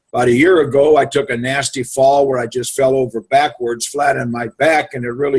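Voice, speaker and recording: Somewhat breathy, a man speaks at a fairly high pitch. His pace is moderate. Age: 70s. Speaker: Marine Corps veteran giving a product testimonial. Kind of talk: testimony. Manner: casual, halting.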